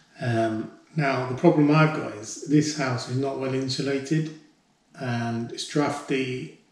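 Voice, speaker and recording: A man speaks at a very slow pace with fairly even intonation. Audible echo fills the room. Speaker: homeowner DIY vlogger. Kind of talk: casual vlog chat. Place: home room. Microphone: camera far.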